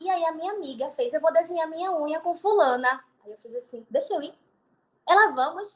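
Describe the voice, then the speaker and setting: A woman's extremely high voice at a fairly quick pace, with lively intonation and big swings in loudness. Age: 20s. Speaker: beautician and entrepreneur. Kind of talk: podcast interview.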